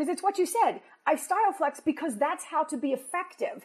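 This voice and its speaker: A woman speaks loudly at a very fast pace. Her pitch is extremely high, with ordinary variation. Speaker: podcast host, career coach. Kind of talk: interview. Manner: fast, loud; high energy, emotive.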